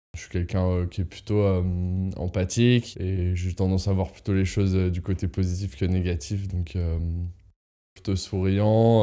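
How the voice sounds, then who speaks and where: A man with a very deep, low pitch and a dark, mellow tone speaks at a moderate pace in a monotone, flat intonation. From France, Lyon. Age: 30s. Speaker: traveller, engineer. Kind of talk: interview testimony. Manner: hesitant, many fillers.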